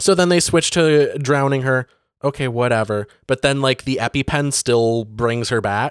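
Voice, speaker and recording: On a very clean recording with a silent background and a dry, close sound with no echo, a man speaks at a moderate pace and medium pitch with ordinary pitch variation and an ordinary speaking voice. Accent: American. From northern Michigan (Benzie County). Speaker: podcast co-host. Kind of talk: casual chat.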